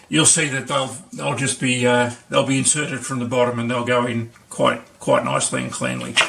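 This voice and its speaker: Over noticeable background noise, a man with an Australian accent talks at a moderate pace. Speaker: maker and video tutor. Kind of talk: tutorial. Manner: halting, many fillers.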